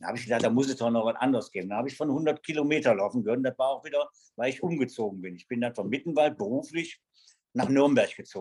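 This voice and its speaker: A man talking at a very fast pace with ordinary pitch variation. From Germany, Wuppertal. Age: 70s. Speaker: extreme runner. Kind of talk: casual interview. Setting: video call.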